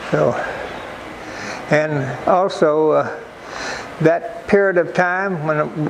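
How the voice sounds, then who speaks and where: Over noticeable background noise, a man with an American accent speaks with fairly even intonation. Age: 80s+. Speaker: war veteran. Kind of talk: interview answer.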